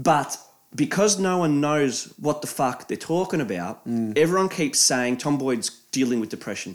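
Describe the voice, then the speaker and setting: A man with an Australian accent, fairly high pitch, lively intonation, and a moderate pace. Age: 20s. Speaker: podcast co-host. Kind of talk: casual chat. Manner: animated, laughing often.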